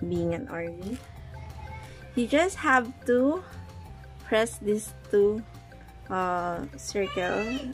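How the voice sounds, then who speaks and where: With music playing behind her, a woman talks in a non-native accent. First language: not English. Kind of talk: casual unboxing talk to camera.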